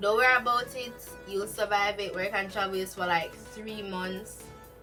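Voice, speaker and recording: A woman's voice with ordinary pitch variation, music in the background. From Jamaica. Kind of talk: casual talk to camera.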